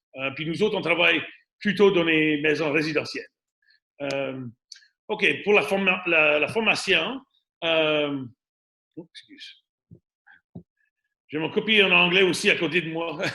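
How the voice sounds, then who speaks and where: A high-voiced man with an Acadian accent, at a fairly slow pace with ordinary pitch variation and long, frequent pauses. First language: English (speaking French). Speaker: radon mitigation and home inspection business owner. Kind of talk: webinar presentation. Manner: halting, many fillers and repetitions.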